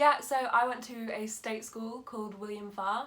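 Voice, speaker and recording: Fairly slow, monotone, flat speech from a woman with a fairly high pitch and an East Midlands accent. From England, Lincolnshire. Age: 20s. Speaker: drama school student. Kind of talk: casual interview.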